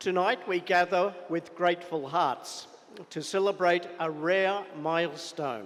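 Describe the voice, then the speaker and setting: A man speaks very slowly in a high pitch, keeping his intonation fairly even. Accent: Australian. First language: not Tamil. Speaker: chief guest speaker at school celebration. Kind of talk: formal speech. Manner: formal.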